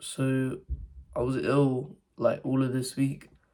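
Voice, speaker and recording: This man has a British accent. His pitch sits in the medium range. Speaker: young entrepreneur vlogger. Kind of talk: casual vlog monologue. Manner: speaking quietly; halting, many fillers and restarts.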